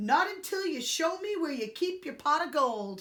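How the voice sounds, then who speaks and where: A woman puts on a character voice pitched extremely high, swinging very widely up and down. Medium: read story. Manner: boastful.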